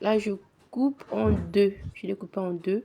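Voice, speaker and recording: Noticeable background noise sits under the recording. A woman speaks at a medium pitch. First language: Lingala and Kituba (speaking French). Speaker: home cooking vlogger. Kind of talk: cooking tutorial. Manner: halting, repetitive.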